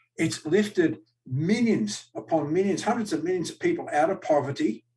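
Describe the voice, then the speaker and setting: Speaking with an Australian accent, a man uses a high pitch and lively intonation. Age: 60s. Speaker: political party official and candidate. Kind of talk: live-streamed political Q&A. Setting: live stream webcast. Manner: animated.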